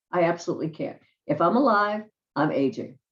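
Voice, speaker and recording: Vocal fry at a moderate pace. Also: woman. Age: 60s. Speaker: self-help vlogger. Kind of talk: motivational talk to camera. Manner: conversational.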